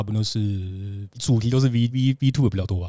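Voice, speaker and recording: A man with a Taiwanese accent speaks at a fairly low pitch in a dark, mellow tone. His intonation is fairly even, and the recording is very clean with a silent background. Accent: Taiwanese Mandarin. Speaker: adult comic artist. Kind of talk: casual chat; heated debate. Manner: halting.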